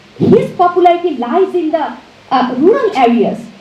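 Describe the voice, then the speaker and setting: With a Bengali accent, a woman speaks at an extremely high pitch with very wide pitch swings. Noticeable background noise and audible room echo are present. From Bangladesh. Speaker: professor. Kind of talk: lecture. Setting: auditorium with audience. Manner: halting.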